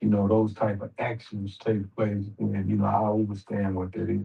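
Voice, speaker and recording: A man with a fairly low pitch, a dark, mellow tone and a somewhat breathy sound. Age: 60s. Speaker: boxing manager. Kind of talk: interview.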